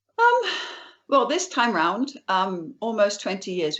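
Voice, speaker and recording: Her pace is moderate. The woman speaks in an English accent. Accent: British (English). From England, Suffolk (East Anglia). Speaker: author and trauma counselor. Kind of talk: interview.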